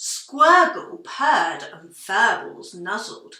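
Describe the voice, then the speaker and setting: With slight echo, a woman growls in a put-on character voice at an extremely high pitch, moving very slowly with very wide pitch swings. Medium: read story.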